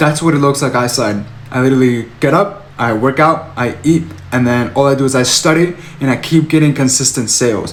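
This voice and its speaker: A man with a non-native accent talks at a moderate pace in a fairly high pitch with ordinary pitch variation, amid noticeable background noise and audible room echo. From Arizona. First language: not English. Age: 20s. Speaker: online business coach. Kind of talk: motivational vlog. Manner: animated.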